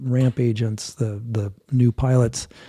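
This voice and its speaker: The voice has a dark, mellow tone, a somewhat breathy quality and fairly even intonation, recorded dry and close with no echo. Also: man. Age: 60s. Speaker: airline captain and mountaineer. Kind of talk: interview conversation.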